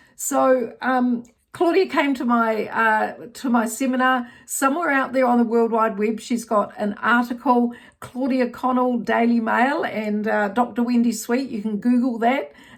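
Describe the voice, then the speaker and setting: A high-pitched woman's voice in a New Zealand accent, with ordinary pitch variation and a fairly slow pace. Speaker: menopause health educator. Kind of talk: educational talk to camera. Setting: outdoors. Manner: hesitant, many fillers.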